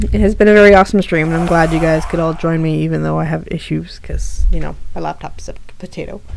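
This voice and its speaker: A woman talks at a very fast pace. Audible room echo and noticeable background noise surround her. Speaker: streamer. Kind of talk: casual chat. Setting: live stream. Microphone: laptop.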